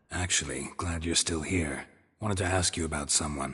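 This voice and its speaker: Over a quiet background, a man puts on a raspy character voice with a very deep, low pitch at a moderate pace. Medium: video game. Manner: terse, dry, deadpan.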